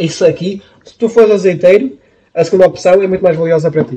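At a fairly quick pace, a man with a high pitch talks in a fairly even intonation. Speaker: podcast co-host. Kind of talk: casual chat.

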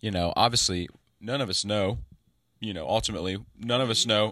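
Recorded very cleanly against a silent background, a man with a fairly low, bright and sharp voice speaks at a fairly quick pace with ordinary pitch variation. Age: 20s. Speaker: podcast co-host and musician. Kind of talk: casual chat. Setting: screened-in porch.

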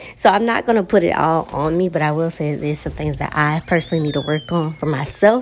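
Her pitch very deep and low, a woman talks at a very fast pace with ordinary pitch variation. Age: 20s. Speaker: solo podcast host. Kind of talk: casual personal monologue. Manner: hesitant, many fillers.

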